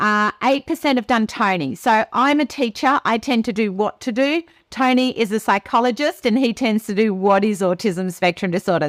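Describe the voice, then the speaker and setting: With a normal speaking voice, a woman talks at a moderate pace in a fairly high pitch and lively intonation. The sound is dry and close, with no echo. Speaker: teacher and webinar presenter. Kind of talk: live webinar presentation. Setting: video call webinar.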